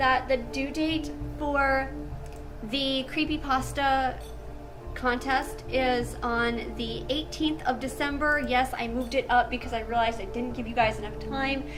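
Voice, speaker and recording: With music in the background and audible room echo, a woman speaks at a fairly slow pace in a high voice with ordinary pitch variation. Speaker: horror story narrator. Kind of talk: casual chat. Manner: normal speaking voice in outro.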